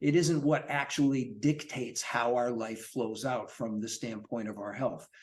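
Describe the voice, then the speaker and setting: A man's ordinary speaking voice, medium in pitch, at a moderate pace with ordinary pitch variation and hardly any pauses. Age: 60s. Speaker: longevity and fitness coach, author. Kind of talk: podcast interview.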